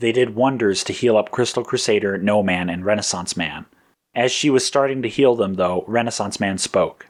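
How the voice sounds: A natural reading voice carries the usual, ordinary shifts in pitch.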